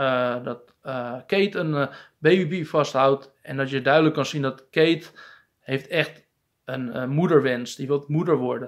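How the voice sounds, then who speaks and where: Over a quiet background, the speaker goes at a fairly slow pace with ordinary pitch variation. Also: man, fairly high pitch for a man. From Netherlands. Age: 30s. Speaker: film reviewer. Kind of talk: casual vlog review. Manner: hesitant, many filler sounds. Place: home room. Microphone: phone near.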